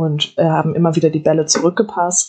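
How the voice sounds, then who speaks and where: The voice is somewhat breathy, with monotone, flat intonation. It moves at a moderate pace. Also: woman. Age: 20s. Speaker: student and football player. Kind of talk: casual chat.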